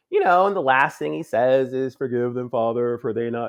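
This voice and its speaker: A man with an American accent at a medium pitch and a moderate pace. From Chicago and Philadelphia. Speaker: filmmaker. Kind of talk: interview conversation. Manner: animated.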